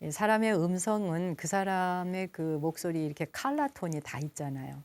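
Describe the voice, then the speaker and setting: On a very clean recording with a silent background, a woman speaks in a fairly low pitch with ordinary pitch variation. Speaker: Buddhist nun and broadcast host. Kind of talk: calm broadcast talk between music. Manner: slow, gentle.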